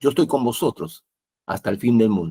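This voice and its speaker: A man speaks in a dark, mellow tone with very wide pitch swings. The recording is very clean, with a silent background. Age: 60s. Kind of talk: religious talk show discussion.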